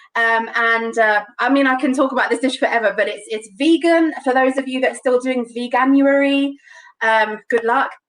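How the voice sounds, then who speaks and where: A woman with a London accent speaks at a moderate pace in a high voice. Her intonation stays fairly even. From London, England. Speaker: home cook demonstrating a recipe. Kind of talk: live cooking demonstration. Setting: live online broadcast.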